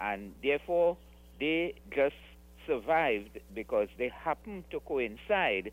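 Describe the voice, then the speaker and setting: This man's voice swings very widely in pitch. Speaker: caller. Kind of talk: call-in comment. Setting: phone call.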